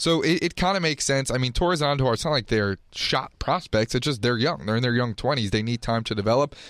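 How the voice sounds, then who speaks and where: On a very clean recording with a silent background, a man with a medium pitch talks at a very fast pace with lively intonation, very even loudness, and hardly any pauses. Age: 20s. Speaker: college student, podcast co-host. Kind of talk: casual chat.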